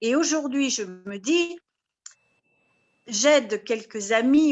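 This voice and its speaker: A woman speaks at a very slow pace. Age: 70s. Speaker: participant asking a question. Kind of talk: question in video call. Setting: video call.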